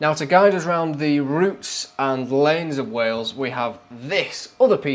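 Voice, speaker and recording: A man's fairly high-pitched voice, with ordinary pitch variation, is heard against noticeable background noise. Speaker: overlanding vlogger. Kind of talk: casual vlog narration. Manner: fast; casual, hesitant fillers.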